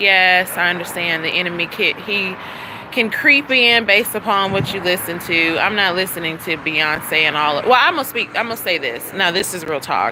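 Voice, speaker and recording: A woman speaks at a moderate pace with a fairly low pitch and ordinary pitch variation. Noticeable background noise sits behind her. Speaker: vlogger. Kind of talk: casual vlog monologue. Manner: animated, conversational.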